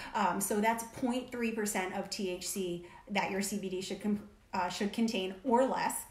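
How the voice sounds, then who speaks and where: A woman with an American accent speaks very slowly with fairly even intonation. Noticeable background noise and audible room echo surround her voice. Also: medium pitch for a woman. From Connecticut (New Haven). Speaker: co-host of a lifestyle video channel. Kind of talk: casual chat.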